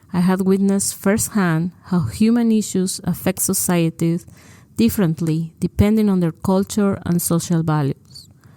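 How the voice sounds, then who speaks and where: With a Mexican accent, the voice is dark and mellow, at a moderate pace with ordinary pitch variation. Loudness stays very even, and the sound is dry and close with no echo. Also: woman, medium pitch for a woman. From Mexico. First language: Spanish. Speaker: podcast co-host. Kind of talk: scripted podcast narration.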